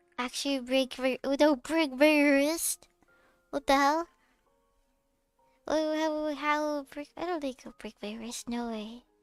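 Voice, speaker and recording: Over background music, a woman with a high pitch and fairly even intonation speaks at a very slow pace with long, frequent pauses and big swings in loudness, in a dry, close sound with no echo. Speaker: vtuber streamer. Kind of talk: casual chat.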